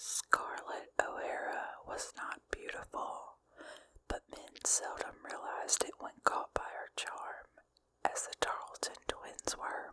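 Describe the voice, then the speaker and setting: A woman whispers in a breathy, gentle tone at a very slow pace. Her loudness swings widely over noticeable background noise. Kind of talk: ASMR book reading. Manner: whispered, gentle, breathy.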